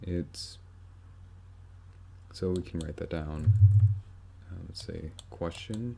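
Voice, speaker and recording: Very deep and low, a man's somewhat breathy voice moves at a very slow pace in a dark, mellow tone, with ordinary pitch variation and long, frequent pauses. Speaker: math tutorial maker. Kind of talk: tutorial.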